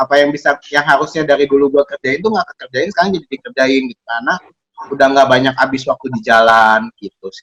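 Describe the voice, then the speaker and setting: A man talks at a very fast pace, his pitch fairly high with ordinary variation. His loudness swings widely, and the sound is dry and close with no echo. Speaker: co-host of an advice show reading listener letters. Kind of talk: casual chat.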